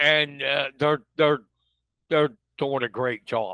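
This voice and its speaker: Speaking with an American accent, a man has a bright, sharp tone and fairly even intonation at a very slow pace. The sound is dry and close, with no echo. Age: 50s. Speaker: local news publisher. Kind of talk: casual chat.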